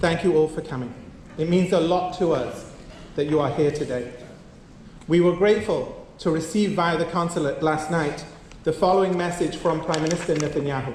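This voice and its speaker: A man with a non-native accent speaks at a moderate pace in a high pitch and fairly even intonation, with audible room echo around him. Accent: foreign. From outside the US. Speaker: community organization leader. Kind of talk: formal memorial speech. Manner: formal.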